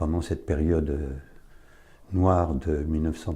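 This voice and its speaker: A man talks at a fairly slow pace. His tone is dark and mellow, with vocal fry. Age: 80s+. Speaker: son of a deportee giving testimony. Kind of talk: testimony. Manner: halting.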